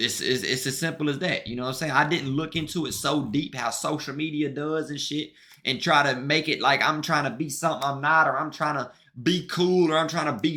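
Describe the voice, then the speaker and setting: In an American accent, a man talks at a fairly quick pace in a fairly high, bright and sharp voice. The recording is very clean, with a silent background. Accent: country but street, Southern. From US South, Mississippi. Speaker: streamer and musician. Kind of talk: casual livestream chat. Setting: livestream. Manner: animated, repetitive.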